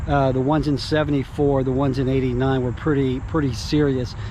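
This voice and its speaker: Amid audible room echo and noticeable background noise, a man with an Alabama accent speaks at a fairly high pitch. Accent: Southern US (Alabama). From US South, North Alabama. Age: 60s. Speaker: real estate / relocation video host. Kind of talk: casual vlog talk to camera. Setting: outdoors. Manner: casual, many fillers.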